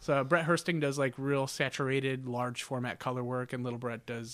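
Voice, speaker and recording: In a Midwestern American accent, a man speaks fairly quickly at a medium pitch on a very clean recording with a silent background. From Northern Ohio. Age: 30s. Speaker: tattoo artist and cartoonist. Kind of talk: casual interview. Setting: studio.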